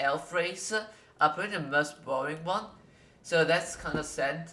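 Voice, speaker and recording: Over noticeable background noise, someone with a non-native accent talks at a fairly slow pace. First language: not English. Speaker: gaming youtuber. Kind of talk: tutorial. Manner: halting, many fillers.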